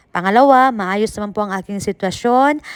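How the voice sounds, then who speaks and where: A woman's fairly high voice with lively intonation, dry and close with no echo. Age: 40s. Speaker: vlogger and overseas worker. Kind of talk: casual vlog monologue. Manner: animated, frequent laughter.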